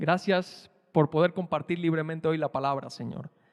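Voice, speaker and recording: Speaking with a Cuban accent, a man uses a fairly high pitch, ordinary pitch variation and a moderate pace. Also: dry, close sound with no echo. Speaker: preacher. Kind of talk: prayer; sermon.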